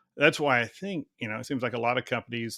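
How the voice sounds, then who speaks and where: Talking at a very fast pace, a man with a bright, sharp tone is heard in a dry, close sound with no echo on a very clean recording with a silent background. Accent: Texan. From Texas. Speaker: podcast host, HR company president. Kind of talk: interview. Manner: casual.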